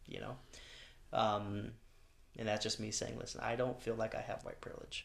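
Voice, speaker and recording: A man talks fairly quickly in an American accent. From Long Beach, California. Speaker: pastor. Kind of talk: casual chat. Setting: studio.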